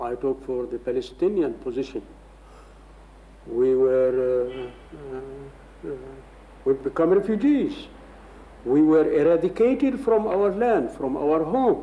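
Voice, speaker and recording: The speaker goes at a fairly slow pace with long, frequent pauses. Background noise is noticeable. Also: man. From Palestine, Jaffa. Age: 60s. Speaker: Palestinian refugee interviewee. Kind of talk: interview.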